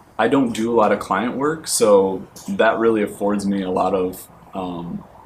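With an American accent and a fairly low pitch, a man talks at a moderate pace with ordinary pitch variation, and audible room echo is present. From Michigan. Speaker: art graduate student. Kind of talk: interview.

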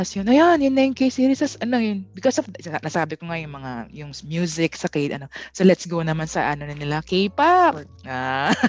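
Over a quiet background, a woman with a fairly low pitch talks at a moderate pace with hardly any pauses, very wide pitch swings and big swings in loudness. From Philippines, Pampanga. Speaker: podcast host. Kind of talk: casual chat.

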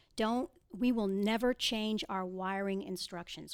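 With an American accent, a woman talks at a medium pitch, her pitch varying in an ordinary way. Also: very clean recording, silent background. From Boston area, US. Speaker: title company business development rep. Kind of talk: interview. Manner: fast.

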